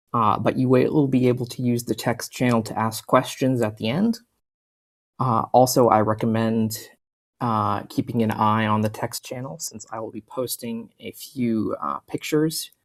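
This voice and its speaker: A normal speaking voice keeps a moderate pace and ordinary pitch variation on a very clean recording, the background silent. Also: man, medium pitch for a man. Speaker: ecologist. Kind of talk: out-of-character instructions to players.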